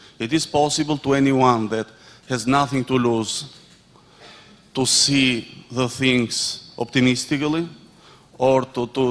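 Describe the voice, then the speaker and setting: This man has an Albanian accent and a medium pitch. His intonation is monotone and flat, with noticeable background noise. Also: long, frequent pauses. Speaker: audience member, association president. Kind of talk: audience question. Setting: conference with audience. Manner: halting.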